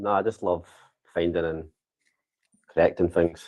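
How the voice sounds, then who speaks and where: A man with a Scottish accent at a very fast pace. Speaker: vibration analysis technician. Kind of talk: casual interview. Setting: office Christmas lunch, live stream. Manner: quiet.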